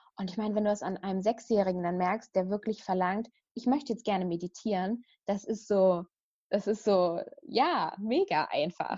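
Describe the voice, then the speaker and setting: At a moderate pace, a woman speaks in a dark, mellow tone with a medium pitch and ordinary pitch variation. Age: 30s. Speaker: meditation teacher and coach for young mothers. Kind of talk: casual interview.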